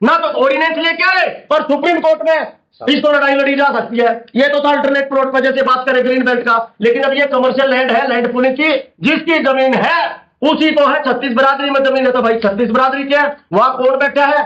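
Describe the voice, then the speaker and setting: A man at an extremely high pitch, with fairly even intonation, very even loudness and a moderate pace. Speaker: farmer activist. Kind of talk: panel discussion. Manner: loud, forceful.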